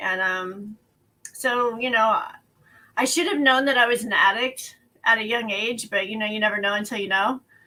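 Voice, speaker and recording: A woman with an American accent, a fairly high pitch and a bright, sharp tone, at a moderate pace with fairly even intonation. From West Texas. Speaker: person in addiction recovery, business owner. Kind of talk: personal testimony. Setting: at home, online show.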